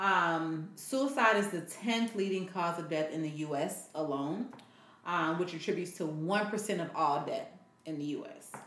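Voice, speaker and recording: A woman with a plain, everyday voice speaks at a fairly slow pace and a fairly low pitch, with ordinary pitch variation. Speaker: podcast co-host, parent. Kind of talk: casual chat.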